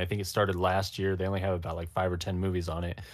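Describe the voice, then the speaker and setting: A man speaks in a Californian accent. The recording is very clean, with a silent background. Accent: Californian American. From Los Angeles, US. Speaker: film content creator. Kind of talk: casual chat. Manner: animated.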